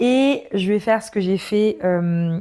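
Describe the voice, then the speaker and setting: At a very slow pace, a woman with a medium pitch and a dark, mellow tone speaks in a very clean recording with a silent background. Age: 30s. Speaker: podcaster. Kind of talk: scripted intro; casual monologue. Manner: hesitant with fillers.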